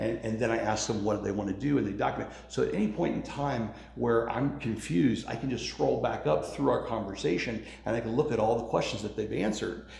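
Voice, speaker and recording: Over noticeable background noise and audible room echo, a man talks at a very fast pace with a medium pitch and lively intonation. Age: 50s. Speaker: contractor and small business owner. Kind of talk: interview. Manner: casual.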